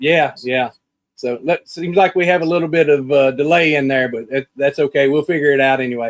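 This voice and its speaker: Fairly high-pitched male speech in a Southern US accent, fairly quick and fairly even in intonation, with a dry, close sound and no echo. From US South. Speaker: podcast host. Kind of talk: video call interview.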